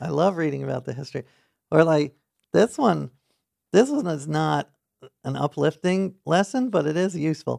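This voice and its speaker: With a dry, close sound and no echo, a man of fairly high pitch speaks at a moderate pace with ordinary pitch variation and long, frequent pauses. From New York City, Manhattan. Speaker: author and journalist. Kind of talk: interview.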